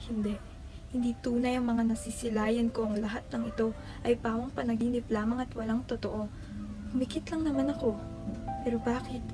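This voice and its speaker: A woman's fairly high pitch and fairly even intonation, with music in the background. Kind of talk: spoken word poetry. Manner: fast; not very emotional.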